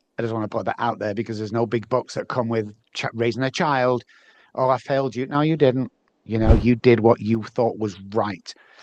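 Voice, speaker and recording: Speaking with an English accent, a man talks at a fairly quick pace and medium pitch with fairly even intonation, in a dry, close sound with no echo against a quiet background. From northern England, Manchester. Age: 60s. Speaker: neuroscience and behavior specialist. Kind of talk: interview. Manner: halting, many fillers.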